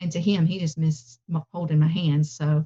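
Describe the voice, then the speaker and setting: In a Southern US accent, a woman speaks at a moderate pace with a somewhat breathy, dark, mellow tone. The sound is dry and close, with no echo. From US South. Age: 50s. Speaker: plant-based cooking instructor. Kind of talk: interview.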